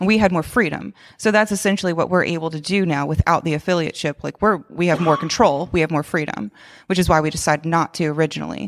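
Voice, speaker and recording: A woman with a Southern US accent talks at a very fast pace, with vocal fry and ordinary pitch variation. The recording is very clean, with a silent background. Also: fairly low pitch for a woman. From US South (Georgia). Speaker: gym manager and fitness coach. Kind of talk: casual conversation.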